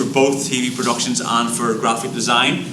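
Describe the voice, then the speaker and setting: A man speaks at medium pitch with an Irish accent, with audible room echo and noticeable background noise. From Ireland. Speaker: high school teacher. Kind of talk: presentation at board meeting.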